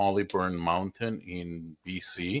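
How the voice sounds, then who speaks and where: A man with a slight Israeli accent, at a very slow pace. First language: Hebrew. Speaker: mortgage broker. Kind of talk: personal introduction video.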